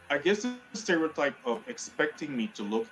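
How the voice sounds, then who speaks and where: Here a man with a Spanish accent speaks at a moderate pace, his pitch swinging very widely. Noticeable background noise runs underneath. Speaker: community leader. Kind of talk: TV panel discussion.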